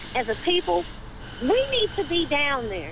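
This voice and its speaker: A woman's high voice with an American accent at a fairly slow pace, over noticeable background noise. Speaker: caller. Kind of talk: call-in comment. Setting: phone call.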